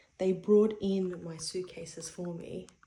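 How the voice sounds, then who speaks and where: A woman speaks at a medium pitch in a dark, mellow tone that is somewhat breathy. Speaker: travel vlogger. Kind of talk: casual vlog narration. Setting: hotel room; walking outdoors in city. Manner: whispering; casual, filler-heavy.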